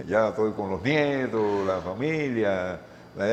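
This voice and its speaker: His intonation is lively. The man's pitch sits in the medium range. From Cuba, Havana. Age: 60s. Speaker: retired volleyball player. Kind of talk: interview. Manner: halting, repetitive.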